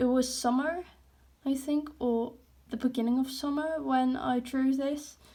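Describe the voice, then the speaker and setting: Dark and mellow in tone yet high in pitch, a woman speaks at a fairly slow pace with monotone, flat intonation. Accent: Dutch. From Netherlands. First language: Dutch. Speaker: artist, hobby YouTuber. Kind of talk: casual sketchbook walkthrough. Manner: casual, hesitant with fillers.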